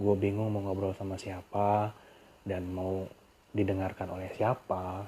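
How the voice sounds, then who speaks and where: A somewhat breathy man's voice, fairly low and dark and mellow in tone, very slow and monotone, with flat intonation. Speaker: podcaster. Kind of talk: casual monologue. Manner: casual.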